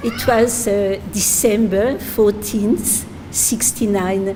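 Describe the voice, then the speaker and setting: A woman with a French accent speaks at a fairly high pitch. The room echo is audible and the background noise is noticeable. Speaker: spiritual teacher. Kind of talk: religious talk. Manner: halting, many fillers.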